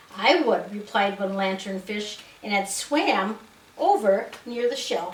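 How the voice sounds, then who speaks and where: A woman's medium-pitched voice with an American accent, very slow in pace, ordinary pitch variation, noticeable background noise. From United States, Wisconsin. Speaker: grandmother reading to a child. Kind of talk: children's storybook reading.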